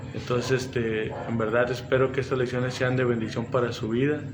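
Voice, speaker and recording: With noticeable background noise and audible room echo, a man speaks at a medium pitch. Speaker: pastor. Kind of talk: sermon. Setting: livestream.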